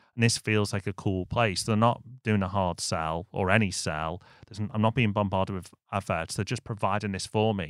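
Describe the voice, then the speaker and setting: In a dry, close sound with no echo and a silent background, a man with a northern English accent and a fairly low pitch talks at a fairly quick pace with ordinary pitch variation. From northern England. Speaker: business podcast co-host. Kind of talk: casual business discussion.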